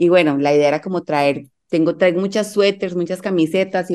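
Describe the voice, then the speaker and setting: The voice has a dark, mellow tone and moves at a fairly quick pace with ordinary pitch variation. The background is quiet. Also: woman. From Colombia, Medellín. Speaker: life coach and yoga teacher, mother. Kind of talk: casual interview chat.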